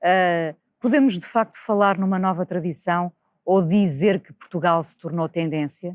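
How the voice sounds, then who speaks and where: A woman with a plain, everyday voice speaks at a fairly slow pace and a fairly low pitch, her loudness swinging widely and her pitch varying in an ordinary way, in a dry, close sound with no echo. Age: 50s. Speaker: videocast host. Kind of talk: interview conversation.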